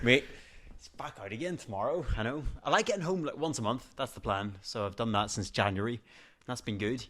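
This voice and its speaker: A man with a Northern Irish accent talks at a fairly quick pace and medium pitch, his loudness swinging widely, in a very clean recording with a silent background. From Northern Ireland. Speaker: TV presenter. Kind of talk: podcast interview answer. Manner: casual, chatty.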